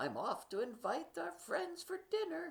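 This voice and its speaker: A female-sounding voice, high-pitched, speaking at a moderate pace. It is a put-on character voice. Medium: read story.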